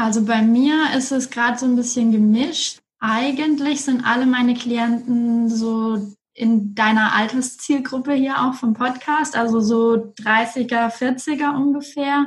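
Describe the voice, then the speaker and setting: A woman with a high pitch speaks at a very slow pace, her intonation fairly even and her loudness very even. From Franconia, Germany (Erlangen). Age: 30s. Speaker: coach and strategy manager. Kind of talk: interview.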